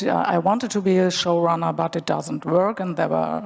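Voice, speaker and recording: Through noticeable background noise, a woman speaks at a fairly low pitch with ordinary pitch variation. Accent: German. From Germany. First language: German. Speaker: screenwriter. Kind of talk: panel discussion. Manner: halting.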